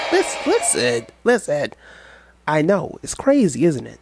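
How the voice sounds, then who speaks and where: There is music in the background as a man speaks. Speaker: youtube commentator. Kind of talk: reaction video commentary.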